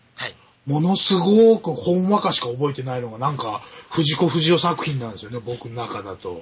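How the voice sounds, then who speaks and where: This man's pitch is fairly high and swings very widely, with big swings in loudness. He keeps a moderate pace over noticeable background noise. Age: middle-aged. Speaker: podcast guest, film buff. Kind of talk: casual chat.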